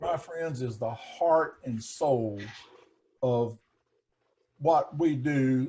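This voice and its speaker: A man speaks at a very slow pace with long, frequent pauses, his pitch fairly high and varying in an ordinary way. His voice is somewhat breathy, with a dark, mellow tone. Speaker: investment advisor. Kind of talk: casual chat.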